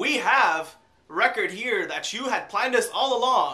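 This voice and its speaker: A man in a raised, projected voice talks at a fairly slow pace with lively intonation. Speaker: vlogger. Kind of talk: casual storytelling to camera.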